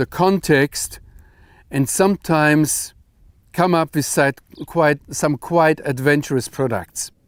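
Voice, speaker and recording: With a German accent, a man speaks at a very slow pace with fairly even intonation. The sound is dry and close with no echo, on a very clean recording with a silent background. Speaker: Bible teacher. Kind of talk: lecture.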